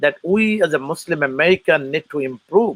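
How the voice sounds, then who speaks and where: At a moderate pace, a man with a fairly high pitch talks in a Bangladeshi accent with ordinary pitch variation and a dry, close sound with no echo. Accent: foreign accent, Bangladeshi. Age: 40s. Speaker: political candidate and military veteran. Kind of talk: interview. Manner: halting, many fillers.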